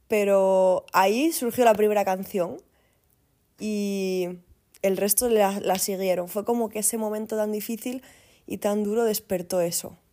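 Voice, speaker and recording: Speaking at a fairly slow pace, a woman has a medium pitch and a dark, mellow tone. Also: fairly even intonation, very clean recording, silent background. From Asturias, Spain. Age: 30s. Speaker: singer-songwriter and recruiter. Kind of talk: casual interview.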